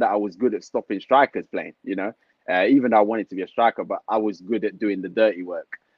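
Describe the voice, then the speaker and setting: A man in a London accent speaks at a fairly quick pace. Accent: London multicultural English. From London, Tottenham. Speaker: retired footballer and football manager. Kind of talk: casual interview chat. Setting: online livestream call.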